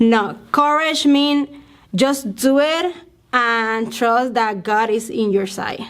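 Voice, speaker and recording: A woman's fairly high voice at a very slow pace with ordinary pitch variation. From Puerto Rico, eastern part. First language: Spanish. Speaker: family therapist, church member. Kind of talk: interview. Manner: halting, many fillers.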